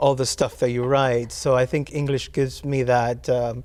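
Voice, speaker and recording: With a Spanish accent, a man talks at a medium pitch in a flat, monotone way. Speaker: poet. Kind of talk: interview. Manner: halting.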